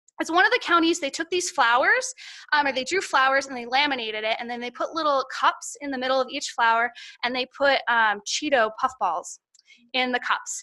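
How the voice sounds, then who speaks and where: A woman speaks fairly quickly in a raised, projected voice, high-pitched with lively intonation. Her tone is bright and sharp. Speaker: horticulture educator. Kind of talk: conference presentation. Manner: fast; animated.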